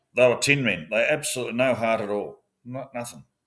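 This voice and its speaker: A man with a medium pitch and an Australian accent, at a fairly quick pace. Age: 60s. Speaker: former police officer. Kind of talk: interview. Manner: halting.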